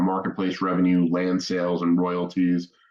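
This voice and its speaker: A man is speaking. His voice is very deep and low. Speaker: startup co-founder presenting. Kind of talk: pitch presentation. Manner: fast.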